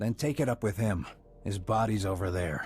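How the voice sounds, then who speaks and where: A man growls through a put-on character voice at a moderate pace, his pitch fairly low. Background noise is clearly audible. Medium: video game. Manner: curt, resentful.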